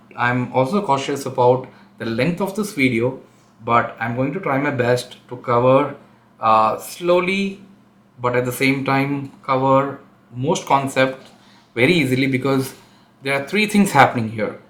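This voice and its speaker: Audible room echo surrounds a man speaking at a fairly slow pace. His medium pitch shows ordinary variation. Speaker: tech educator / channel host. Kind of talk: tutorial. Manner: hesitant, many fillers.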